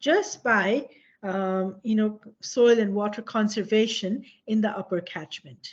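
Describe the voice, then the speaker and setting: Against a quiet background, a woman speaks at a fairly slow pace, her fairly high, somewhat breathy voice showing ordinary pitch variation. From Nepal. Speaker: professor. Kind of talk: lecture. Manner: halting.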